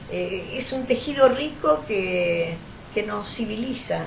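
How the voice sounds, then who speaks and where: The pace is very slow, with big swings in loudness. Audible room echo and noticeable background noise fill the recording. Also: woman. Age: 70s. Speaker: historian. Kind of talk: interview. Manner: halting, with many repetitions.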